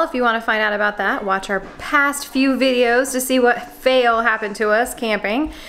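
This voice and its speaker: Over faint background music, a woman speaks at a moderate pace in a high pitch. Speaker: family vlogger. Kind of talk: casual vlog chat. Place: kitchen. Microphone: phone near.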